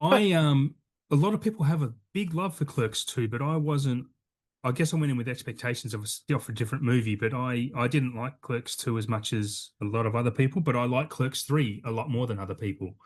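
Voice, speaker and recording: Against a quiet background, a man speaks at a fairly quick pace with lively intonation, his medium-pitched voice somewhat breathy. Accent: Australian. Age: 40s. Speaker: podcast host. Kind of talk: casual chat.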